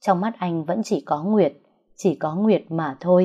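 Pitch varies in an ordinary way. A natural reading voice sounds over a quiet background.

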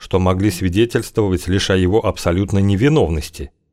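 The reading aloud is plain, with intonation that stays fairly even.

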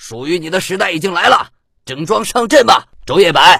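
A man puts on a character voice that is high-pitched, bright and sharp in tone, with vocal fry, a slightly husky edge, lively intonation and a moderate pace.

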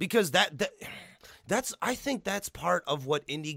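A man with an American accent speaks in a bright, sharp tone, his pitch swinging very widely. The recording sounds dry and close, with no echo. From Illinois, US Midwest. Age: 30s. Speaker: podcast host. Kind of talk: casual chat. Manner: animated.

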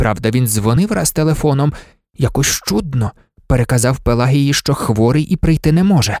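Against a quiet background, someone reads in a natural voice.

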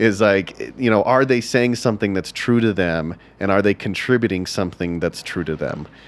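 A man with an ordinary speaking voice and a fairly low pitch talks at a moderate pace with hardly any pauses. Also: ordinary pitch variation. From Texas. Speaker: stand-up comedian. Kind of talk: casual interview chat.

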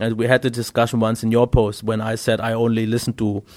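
A man of medium pitch with a German accent, at a very fast pace, on a very clean recording with a silent background. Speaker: podcast co-host, tech YouTuber. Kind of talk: casual chat. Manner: halting.

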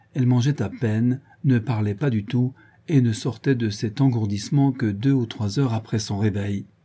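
Someone reads in a natural voice. The pitch shifts by an ordinary amount.

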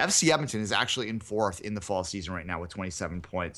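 A man with a fairly low pitch and a bright, sharp tone talks against a quiet background. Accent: Canadian. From Canada. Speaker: soccer podcast host. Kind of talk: casual chat.

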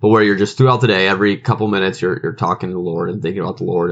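A man speaks in a fairly low voice with an American accent. His pitch varies in an ordinary way. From grew up overseas, US Midwestern parents. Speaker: podcast host and minister. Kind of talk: casual chat.

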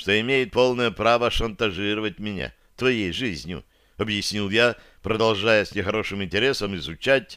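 Here is a natural reading voice. It carries the whole clip.

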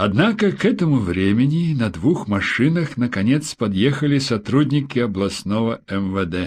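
A natural voice reads aloud. Its intonation moves in a lively way.

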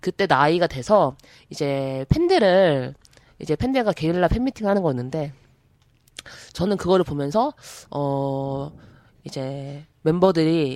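A woman's very deep, low voice moves with lively intonation at a moderate pace. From South Korea, Gangwon Province (Taebaek). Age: older than typical idol fans. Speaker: podcast host and producer. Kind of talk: casual chat.

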